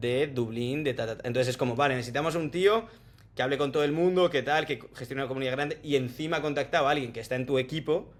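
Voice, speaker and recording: The man speaks at a medium pitch. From Spain, Salamanca. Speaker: tech sales professional. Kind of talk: casual interview chat.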